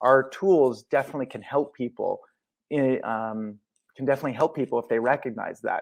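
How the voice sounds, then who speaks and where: Against a quiet background, a man with an American accent talks at a fairly quick pace in an ordinary speaking voice, medium in pitch, with ordinary pitch variation. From US Midwest, St. Louis, Missouri. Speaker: former member of a self-help group, Tourette's advocate. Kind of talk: podcast interview.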